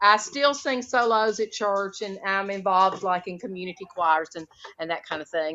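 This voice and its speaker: A woman with a Southern US accent, medium pitch, ordinary pitch variation, big swings in loudness and a moderate pace. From US South (Alabama). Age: 50s. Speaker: retired special education teacher. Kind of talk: interview conversation.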